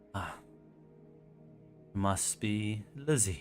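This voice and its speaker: In a put-on character voice, a man sounds raspy and sinister at a fairly low pitch, with clear music playing behind him. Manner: sinister, knowing.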